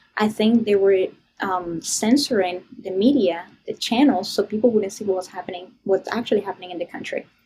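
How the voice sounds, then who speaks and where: A woman with a Venezuelan accent talks at a fairly quick pace and a medium pitch, with ordinary pitch variation and big swings in loudness. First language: Spanish. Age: young. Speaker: political activist, public speaker. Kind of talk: podcast interview answer. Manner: casual.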